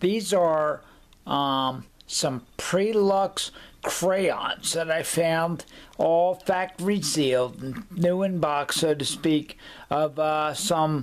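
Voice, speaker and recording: A man talks at a very slow pace with a high pitch for a man. His loudness stays very even. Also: ordinary pitch variation. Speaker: collector showing an item. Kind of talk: casual talk to camera. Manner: halting, with pauses and fillers. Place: home room. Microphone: webcam.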